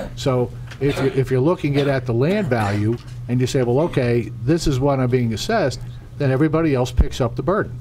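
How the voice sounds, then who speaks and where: Against noticeable background noise and audible room echo, a man at a medium pitch talks at a fairly quick pace, with ordinary pitch variation and very even loudness. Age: 60s. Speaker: township council member. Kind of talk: public meeting remarks. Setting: township council meeting.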